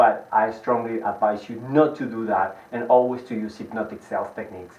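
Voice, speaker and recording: A man with a Spanish accent talks at a fairly quick pace in a medium pitch, his intonation fairly even but his loudness swinging widely, over noticeable background noise. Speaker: hypnotist and sales trainer. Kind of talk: lecture. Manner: fast.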